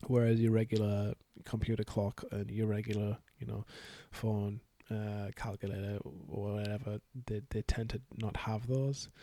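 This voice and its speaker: At a moderate pace, a man mumbles in a medium pitch. His intonation is fairly even. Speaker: hobbyist software developer. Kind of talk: casual software dev vlog. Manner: mumbling, hesitant.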